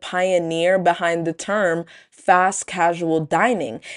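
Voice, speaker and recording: A woman with an American accent, over a quiet background. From Brooklyn, New York. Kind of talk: scripted narration. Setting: studio.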